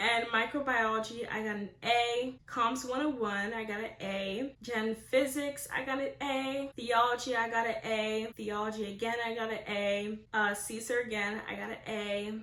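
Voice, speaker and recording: Against noticeable background noise, a woman with a fairly high pitch speaks at a moderate pace in a flat monotone, with hardly any pauses. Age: 20s. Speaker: incoming medical student. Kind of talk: casual talk to camera.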